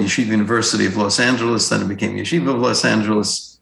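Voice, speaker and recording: In a New York accent, a man speaks with a fairly low pitch and ordinary pitch variation. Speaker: rabbi and author. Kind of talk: interview answers on religious topics. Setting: video call.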